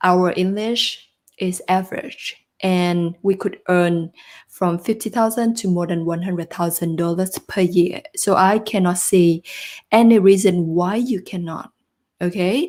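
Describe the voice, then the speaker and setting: In a very clean recording with a silent background, a woman with a non-native accent talks at a fairly slow pace and medium pitch, with ordinary pitch variation. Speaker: job search coach. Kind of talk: live stream talk to viewers. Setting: live stream.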